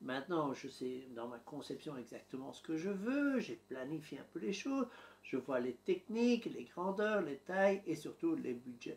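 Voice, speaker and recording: Speaking with a strong Belgian accent, a man talks at a fairly high pitch and fairly slow pace, with very wide pitch swings and big swings in loudness. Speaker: YouTuber documenting home building. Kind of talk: vlog narration to camera. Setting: home office.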